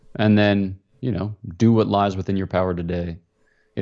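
This man's very deep, low voice stays monotone and flat as he talks at a fairly quick pace. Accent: American. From US, Philadelphia area. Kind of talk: interview.

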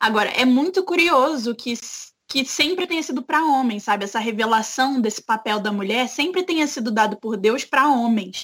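At a moderate pace, a woman speaks at a high pitch. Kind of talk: casual chat.

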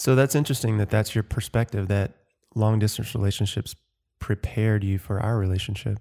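A man with a fairly low pitch and a dark, mellow tone speaks at a fairly quick pace with fairly even intonation, in a very clean recording with a silent background and a dry, close sound with no echo. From US South, Georgia (Watkinsville near Athens). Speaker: podcast co-host. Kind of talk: casual chat.

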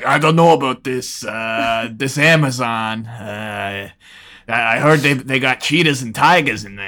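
In a gruff, put-on character voice, a man speaks at a medium pitch and a fairly slow pace. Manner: gruff, simple-minded.

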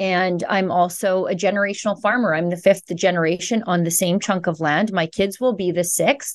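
A woman with a western Canadian accent, medium pitch, fairly even intonation, moderate pace and hardly any pauses, over a quiet background. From Alberta, Canada. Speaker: journalist. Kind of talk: interview.

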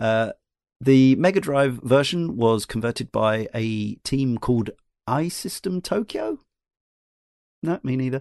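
Over a quiet background in a dry, close sound with no echo, a man with a British accent talks at medium pitch and a fairly slow pace, using lively intonation and long, frequent pauses. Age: 40s. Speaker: podcast host. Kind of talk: casual chat.

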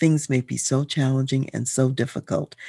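A woman speaks with a very deep, low pitch and vocal fry. Her tone is dark and mellow against a quiet background. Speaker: podcast host and leadership consultant. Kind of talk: sermon-like devotional talk, leading prayer. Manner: earnest, fervent; measured, formal.

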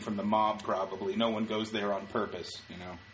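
A man with an ordinary speaking voice and fairly low pitch talks at a moderate pace. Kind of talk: animated storytelling, tour-guide-style patter.

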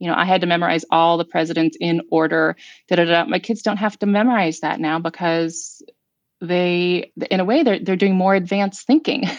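In a normal speaking voice, the speaker goes at a fairly quick pace with ordinary pitch variation. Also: woman. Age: 50s. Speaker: author and mother. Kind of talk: casual chat.

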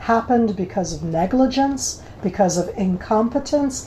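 A woman talks with an American accent over noticeable background noise. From United States. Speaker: former military intelligence officer and government spokesperson. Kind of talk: interview.

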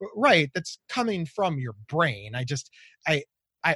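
A man speaks with lively intonation in a dry, close recording with no echo and a quiet background. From Ohio, US. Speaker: mental health advocate with bipolar disorder. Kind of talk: casual interview chat. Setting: remote call across time zones. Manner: talkative, halting with repeated words.

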